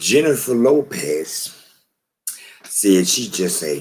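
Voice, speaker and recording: Animated in tone, a man's speech carries lively intonation. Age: 60s. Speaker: video commentator. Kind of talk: monologue.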